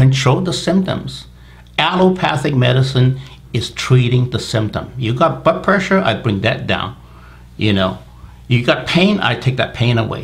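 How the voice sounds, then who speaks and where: A moderately paced voice with lively intonation and vocal fry, heard with audible room echo. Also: man, medium pitch for a man. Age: 60s. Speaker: medical doctor. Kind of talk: interview.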